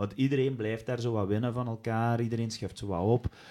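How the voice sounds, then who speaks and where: A man speaks with a Flemish accent. His tone is dark and mellow. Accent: Flemish Dutch. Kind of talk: casual chat.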